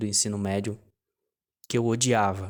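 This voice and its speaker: Flat, monotone intonation runs throughout. Nothing stirs in the silent background of this very clean recording. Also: man. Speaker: online business coach. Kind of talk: casual vlog monologue. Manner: halting, many restarts.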